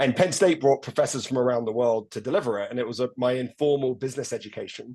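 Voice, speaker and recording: A man talks very fast at a medium pitch, with ordinary pitch variation and a dark, mellow tone. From England. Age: 50s. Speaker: rugby coach and leadership consultant. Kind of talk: interview conversation. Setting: video call.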